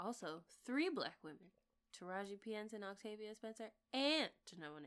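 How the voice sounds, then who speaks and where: Speaking fairly quickly with an American accent, the voice makes very wide pitch swings. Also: woman. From US South. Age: 30s. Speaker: podcast co-host. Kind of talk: casual chat.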